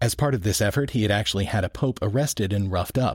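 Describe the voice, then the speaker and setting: Very fast and lively in intonation, a man talks at a fairly low pitch in a somewhat breathy voice. The recording is very clean with a silent background and a dry, close sound with no echo. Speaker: podcast host. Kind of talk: scripted narration with co-host banter.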